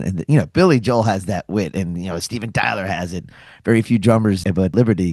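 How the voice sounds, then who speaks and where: With a normal speaking voice, a man talks fairly quickly at a fairly low pitch with ordinary pitch variation, over a quiet background in a dry, close sound with no echo. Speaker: radio host. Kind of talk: podcast conversation.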